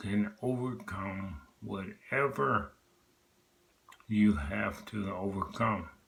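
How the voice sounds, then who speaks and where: A man speaks at a very slow pace in a fairly low pitch with ordinary pitch variation. Noticeable background noise runs under his voice. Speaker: vlogger sharing personal health story. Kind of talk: personal testimony vlog. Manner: earnest, motivational.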